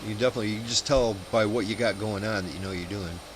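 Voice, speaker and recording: A man speaks very fast in an American accent, his pitch fairly low with ordinary variation. Noticeable background noise sits behind him. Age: 50s. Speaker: flight sim streamer. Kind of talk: casual chat.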